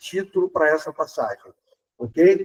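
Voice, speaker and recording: The man's very slow speech has a dry, close sound with no echo. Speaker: spiritist speaker. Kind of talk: public lecture.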